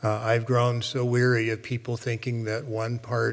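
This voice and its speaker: Somewhat breathy, a man with an American accent talks at a moderate pace and a medium pitch. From Oklahoma. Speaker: college president. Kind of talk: formal presentation to board. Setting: public board meeting.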